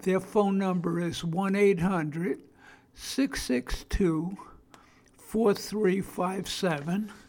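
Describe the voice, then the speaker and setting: A man's high voice in a Brooklyn accent at a very slow pace. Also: ordinary pitch variation. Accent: Brooklyn New York. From Brooklyn, New York. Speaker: podcast host on addiction and family. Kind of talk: monologue podcast talk. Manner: informal, not polished.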